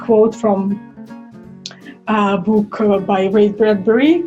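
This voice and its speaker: At a very slow pace, a woman with a Russian accent speaks at a fairly high pitch while music plays in the background. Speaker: violinist and singer. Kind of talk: casual talk to camera.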